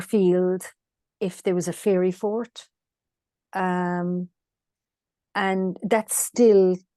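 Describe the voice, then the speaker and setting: A woman with a Cork accent speaks at a very slow pace, with a dark, mellow tone and fairly even intonation. The sound is dry and close with no echo, over a quiet background. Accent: Irish (Cork). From Ireland, rural West Cork. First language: Irish. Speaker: land healer. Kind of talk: interview conversation. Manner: halting, many fillers.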